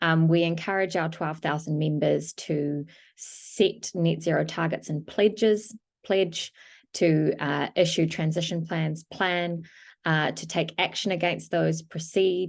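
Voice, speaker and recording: A woman in a New Zealand accent speaks at a fairly slow pace and fairly low pitch with fairly even intonation over a quiet background. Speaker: climate policy lead. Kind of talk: panel discussion. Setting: video call.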